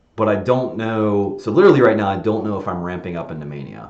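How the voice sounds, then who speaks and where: Against audible room echo, a man talks at a fairly quick pace with ordinary pitch variation. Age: 40s. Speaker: software designer live streaming; presenter. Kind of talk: casual live stream monologue; casual rambling vlog talk over screen share. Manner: fast; rambling with fillers and restarts. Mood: reflective, candid.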